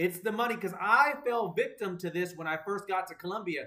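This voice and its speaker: A man speaks in a raised, projected voice with an animated tone. His tone is bright and sharp. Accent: American. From United States. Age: 40s. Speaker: podcast host. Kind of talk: casual chat.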